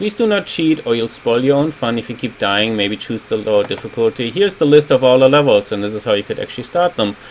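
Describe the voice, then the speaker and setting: Amid noticeable background noise, a man with a German accent speaks at a medium pitch and a fairly quick pace. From Germany. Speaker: game designer. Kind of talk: video retrospective commentary. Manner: casual, with frequent fillers.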